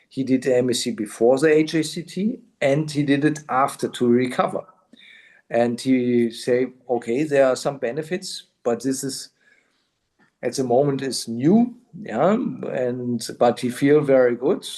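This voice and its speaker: A man with a German accent, medium pitch, dark and mellow tone, fairly slow pace, and ordinary pitch variation. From southern Germany. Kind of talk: interviewer on video call.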